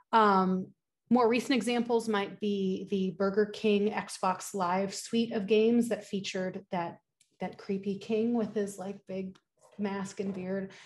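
A woman speaks at medium pitch in a somewhat breathy, monotone, flat voice at a fairly slow pace. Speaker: communication studies professor. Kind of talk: conference presentation. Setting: video call.

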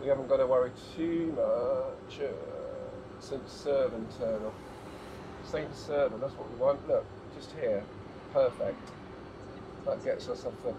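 Noticeable background noise sits behind a man's voice. He speaks at a fairly slow pace with long, frequent pauses. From England. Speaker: travel vlogger. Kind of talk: casual driving vlog commentary. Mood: relaxed, chatty. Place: car. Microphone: camera far.

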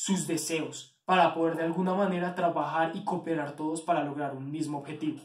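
Room echo surrounds a man whose high-pitched voice stays monotone and flat as he speaks at a moderate pace. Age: 20s. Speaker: university student; candidate. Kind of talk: candidacy self-presentation video. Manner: hesitant, with filler sounds. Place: home room. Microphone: phone near.

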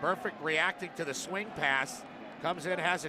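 Moderate-paced speech from a man with a fairly high pitch and ordinary pitch variation, noticeable background noise behind it. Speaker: color analyst. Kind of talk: live sports commentary, analysis. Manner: explanatory, conversational, energetic.

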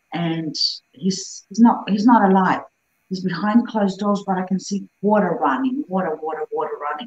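Her intonation is lively and her pitch medium. The woman sounds somewhat breathy. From Greece. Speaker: psychic medium. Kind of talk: casual interview. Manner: animated storytelling.

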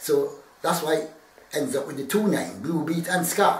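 Male speech amid light background noise, room echo audible. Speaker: interviewee. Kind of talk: interview answer. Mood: relaxed, friendly. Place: home room.

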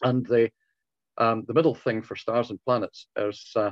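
With little pitch movement, a man talks at a moderate pace in a fairly low pitch, the sound dry and close with no echo.

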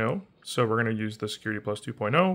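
A man's fairly quick speech, with ordinary pitch variation, comes over a quiet background. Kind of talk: tutorial. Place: home room. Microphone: phone near.

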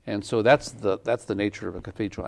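The speaker has a New Mexican accent. The background is quiet. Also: man. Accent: New Mexican American English. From Santa Fe, New Mexico, USA. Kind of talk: interview answer. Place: studio. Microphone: lapel.

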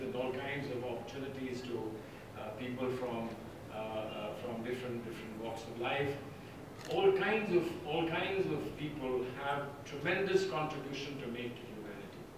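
Strong room echo and noticeable background noise surround a man speaking at a moderate pace with ordinary pitch variation. His loudness swings widely. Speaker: guest lecturer. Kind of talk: lecture. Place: hall.

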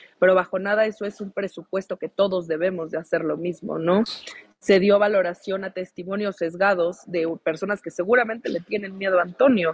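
A woman at medium pitch speaks at a fairly quick pace with a Mexican accent and fairly even intonation. The sound is dry with no echo, and the background is quiet. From Mexico. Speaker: lawyer. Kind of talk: live talk show interview. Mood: earnest, firm. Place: home room. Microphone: video call.

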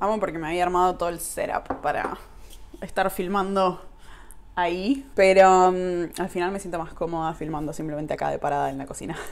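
A woman speaks at a fairly quick pace in an Argentine accent, her fairly low pitch held in a fairly even intonation. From Argentina. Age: 20s. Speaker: YouTuber. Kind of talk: vlog monologue. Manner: casual, with laughs. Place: kitchen. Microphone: phone near.

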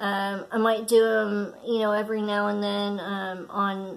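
A woman's voice in monotone, flat intonation. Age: 30s. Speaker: craft podcaster. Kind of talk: casual chat; casual vlog chat. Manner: halting. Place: home room. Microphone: phone near.

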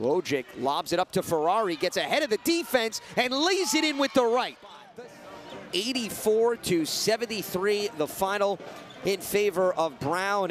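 Over noticeable background noise, a man with a high-pitched voice speaks with lively intonation. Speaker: play-by-play commentator. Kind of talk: live sports commentary, highlight reel. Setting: broadcast over game footage.

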